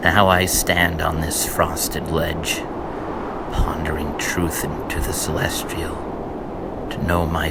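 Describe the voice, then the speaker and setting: Amid noticeable background noise, a man talks in a monotone, flat intonation at a very deep, low pitch and a very slow pace. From Connecticut, USA. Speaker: poet. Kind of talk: poetry reading.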